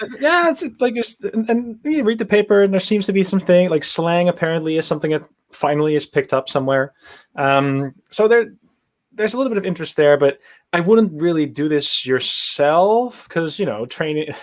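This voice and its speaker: Lively intonation marks a man's high-pitched voice as he talks at a fairly quick pace. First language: Dutch. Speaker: machine learning engineer. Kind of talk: casual interview on a livestream. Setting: live video stream.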